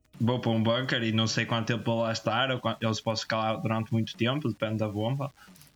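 A man at medium pitch, very fast and monotone with flat intonation, amid noticeable background noise. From Portugal. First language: Portuguese. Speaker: podcast co-host. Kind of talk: casual chat. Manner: halting.

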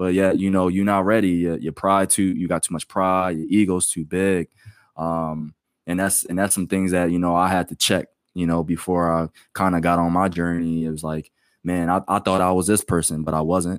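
A man with an American accent and a very deep, low pitch, flat and monotone at a moderate pace, in a very clean, silent-background recording with dry, close sound and no echo. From Pennsylvania, Delaware County. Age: 30s. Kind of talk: casual chat.

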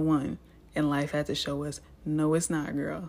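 Someone speaks at a moderate pace with an American accent, on a very clean recording with a silent background. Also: woman. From US Midwest, Illinois. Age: 20s. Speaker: wellness coach podcast host. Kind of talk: casual personal monologue.

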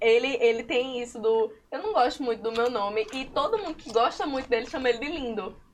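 A woman talks at a fairly quick pace with hardly any pauses, over noticeable background noise. Her pitch is high, with ordinary variation. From Currais Novos, Seridó, Rio Grande do Norte, Brazil. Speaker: illustrator and comic artist. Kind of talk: casual chat.

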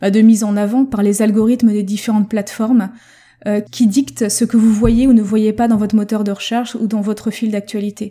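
On a very clean recording with a silent background, a woman with a fairly high pitch and a dark, mellow, somewhat breathy tone speaks at a moderate pace in a flat monotone. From France. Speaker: language learning coach. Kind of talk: solo podcast monologue.

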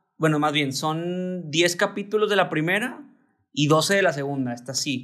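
Speaking at a moderate pace, a man with a fairly high pitch and ordinary pitch variation has an ordinary speaking voice. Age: 30s. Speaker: podcast co-host, university teacher. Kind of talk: casual chat.

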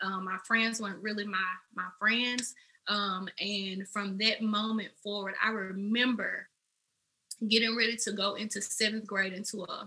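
A woman in a Memphis accent speaks at a fairly slow pace, her medium pitch carried in a monotone, flat intonation. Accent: Southern US, Memphis. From Memphis, Tennessee, US South. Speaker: makeup artist and entrepreneur. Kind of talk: casual interview chat.

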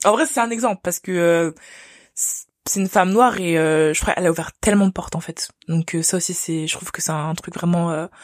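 The recording is very clean, with a silent background and a dry, close sound with no echo. A woman with a fairly low pitch speaks at a moderate pace with ordinary pitch variation. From France. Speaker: engineering student. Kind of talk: interview. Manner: halting.

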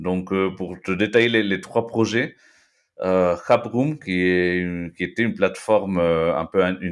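Here a man speaks with a very deep, low pitch. His pace is very slow. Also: very clean recording, silent background. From Peru (Lima), born in Belgium. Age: 30s. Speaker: no-code agency cofounder. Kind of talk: interview. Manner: halting, frequent repetitions.

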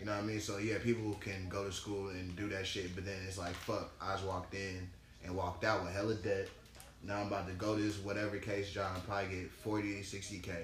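Over noticeable background noise, the speech moves at a fairly quick pace with a flat, monotone intonation. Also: man, fairly low pitch for a man. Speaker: podcast guest, works in tech project management. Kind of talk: casual chat.

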